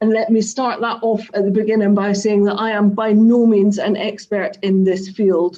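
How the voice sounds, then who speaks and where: In a strong Scottish accent, a woman with a dark, mellow tone speaks at a medium pitch and moderate pace with fairly even intonation. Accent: Scottish, thick. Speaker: craft business owner. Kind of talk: online talk to a live audience.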